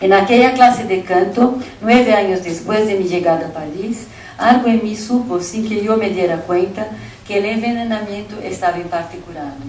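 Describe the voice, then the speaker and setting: Someone with a Brazilian accent speaks with ordinary pitch variation amid audible room echo and noticeable background noise. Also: woman, medium pitch for a woman, moderate pace. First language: Portuguese (speaking Spanish). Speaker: keynote lecturer, academic. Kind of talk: reading a lecture aloud. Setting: conference with audience. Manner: formal.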